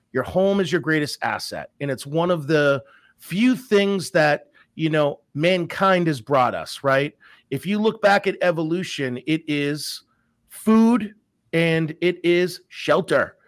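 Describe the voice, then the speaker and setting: In a very clean recording with a silent background, a man with a slight Massachusetts accent talks at a very slow pace and a high pitch. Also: ordinary pitch variation. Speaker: mortgage professional and podcast host. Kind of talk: casual chat.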